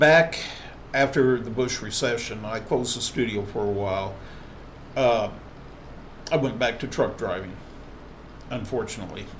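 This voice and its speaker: Audible room echo surrounds a man who talks with ordinary pitch variation and long, frequent pauses. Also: medium pitch for a man, moderate pace. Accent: American. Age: 60s. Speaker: tattoo artist and body piercer. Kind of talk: vlog monologue. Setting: live stream.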